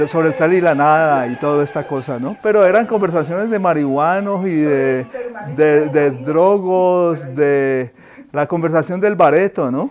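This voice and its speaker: With music playing underneath, a man's fairly high voice moves fairly slowly, its pitch varying in an ordinary way. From Colombia, Cali. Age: 60s. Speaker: painter. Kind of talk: interview. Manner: halting.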